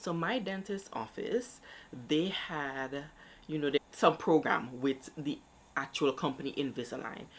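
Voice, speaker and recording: A woman speaks at a fairly slow pace, her very deep, low voice carrying lively intonation. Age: adult. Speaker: YouTube vlogger. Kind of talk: casual vlog talk.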